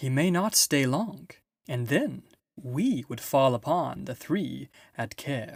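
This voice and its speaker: Using a put-on character voice, a man talks at a fairly slow pace in a fairly high pitch. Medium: read story.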